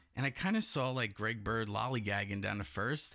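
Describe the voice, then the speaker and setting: Bright and sharp in tone with vocal fry, the voice has lively intonation and a very fast pace. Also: man. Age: 30s. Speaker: podcast host. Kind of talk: casual chat. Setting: studio.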